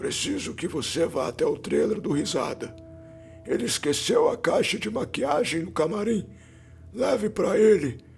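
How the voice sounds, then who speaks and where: A man performs a put-on character voice that is hoarse and raspy, at a moderate pace. Clear music plays in the background. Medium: read story. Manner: curt, authoritative.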